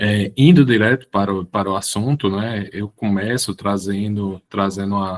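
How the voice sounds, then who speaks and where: A man at a moderate pace and fairly low pitch, fairly even in intonation with hardly any pauses, in a dry, close sound with no echo. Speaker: professor and public administrator. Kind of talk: online lecture. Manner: halting, many word repetitions.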